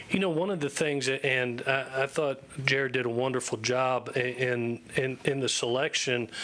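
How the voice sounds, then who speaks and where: There is noticeable background noise as a man with a Southern US accent speaks at a moderate pace, hardly pausing. His pitch is medium, his intonation fairly even, and his loudness very even. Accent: Southern twang. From Florida, US South. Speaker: football head coach. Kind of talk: press conference.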